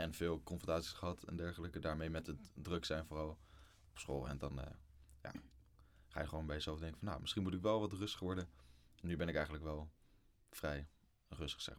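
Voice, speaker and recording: Long, frequent pauses break up speech that has vocal fry and fairly even intonation. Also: man, very deep, low pitch for a man, fairly quick pace. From Netherlands, Lelystad. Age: 20s. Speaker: student. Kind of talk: casual chat.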